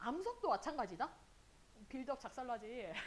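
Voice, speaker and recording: Noticeable background noise sits under a speaker whose animated tone moves along at a fairly quick pace. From South Korea, grew up Incheon and Daejeon. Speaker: high school earth science teacher. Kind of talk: lecture. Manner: casual, animated.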